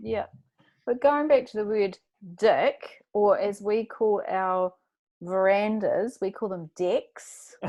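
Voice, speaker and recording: Speaking at a very slow pace in a New Zealand accent, a woman with a fairly high pitch uses ordinary pitch variation against a quiet background. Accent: New Zealand accent, mocked by Australians. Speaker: podcast host, guest. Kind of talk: casual interview chat.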